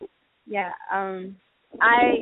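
A woman with an American accent has a normal speaking voice at a medium pitch. Her pitch variation is ordinary. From Chicago. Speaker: stage actor. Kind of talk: interview.

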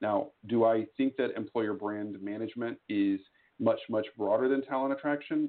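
A man with an American accent speaks in a normal speaking voice at a medium pitch and a moderate pace. His pitch varies in an ordinary way. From Texas. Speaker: employer branding executive. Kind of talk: interview.

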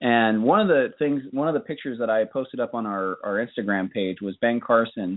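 A man talks at a fairly quick pace with hardly any pauses, in an ordinary speaking voice. His pitch is medium, with ordinary variation. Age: 30s. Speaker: podcast co-host. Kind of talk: casual chat.

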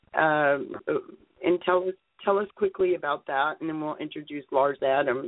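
A woman's very deep, low voice with ordinary pitch variation at a moderate pace. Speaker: radio host and publisher. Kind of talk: interview. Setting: phone call. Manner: halting.

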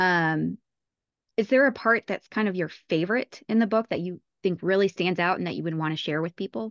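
A woman's normal speaking voice, medium in pitch with ordinary pitch variation, at a moderate pace, with a dry, close sound with no echo and a quiet background. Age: 30s. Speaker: podcast host. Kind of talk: interview.

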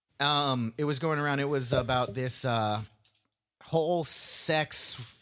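A man's medium-pitched voice with an American accent, bright and sharp in tone, ordinary pitch variation, on a very clean recording with a silent background. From US South. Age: 20s. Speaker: podcast co-host. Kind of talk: casual chat. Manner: animated.

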